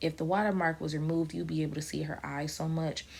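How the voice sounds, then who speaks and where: This voice belongs to a woman. It sits at a very deep, low pitch. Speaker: vlogger and aspiring model. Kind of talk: casual vlog. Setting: at home next to a sleeping baby. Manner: soft-spoken, talking low.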